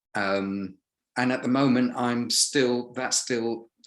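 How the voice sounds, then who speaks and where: Very slowly and with monotone, flat intonation, a man speaks in an English accent. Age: 60s. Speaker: retired businessman, actor and voiceover artist. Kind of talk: casual interview chat.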